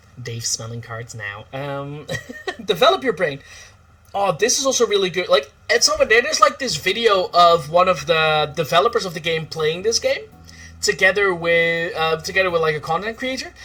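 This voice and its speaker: Speaking with a Dutch accent, a man uses a high, bright, sharp voice with very wide pitch swings at a moderate pace. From Netherlands. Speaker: streamer. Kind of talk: casual chat. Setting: livestream. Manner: animated.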